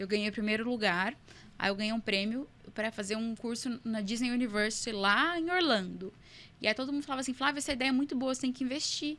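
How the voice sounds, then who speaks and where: A woman speaks at a fairly quick pace in a fairly high voice, her tone bright and sharp and her pitch varying in an ordinary way. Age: 20s. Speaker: entrepreneur. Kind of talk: podcast interview.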